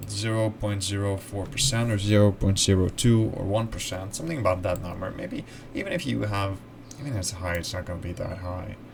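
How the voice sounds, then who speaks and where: A man with a Dutch accent speaks in a fairly low pitch with fairly even intonation. There is noticeable background noise. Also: fairly quick pace. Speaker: video essayist. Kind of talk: casual explainer monologue. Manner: halting.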